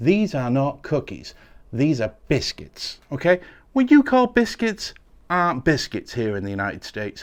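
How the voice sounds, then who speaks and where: A man with an English accent talks at a moderate pace. His pitch swings very widely. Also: very clean recording, silent background. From England. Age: 40s. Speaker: tech reviewer. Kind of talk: product unboxing review. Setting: sat behind a desk. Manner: casual, chatty.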